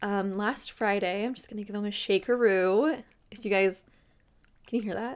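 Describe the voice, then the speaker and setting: A woman speaks in an animated tone at medium pitch. Her pace is moderate. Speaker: podcast host and tarot reader. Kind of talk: casual solo podcast monologue. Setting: video podcast recorded on camera. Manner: chatty, animated, laughs often.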